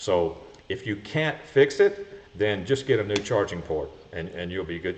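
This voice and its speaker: A man is speaking. His voice is somewhat breathy. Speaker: golf cart repair show host. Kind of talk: live stream Q&A. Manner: fast.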